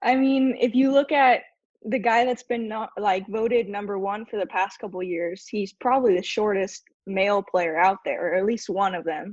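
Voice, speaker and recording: An ordinary speaking voice with an American accent. The pace is moderate, with ordinary pitch variation. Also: woman, medium pitch for a woman. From California, US. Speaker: roundnet athlete. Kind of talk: casual interview.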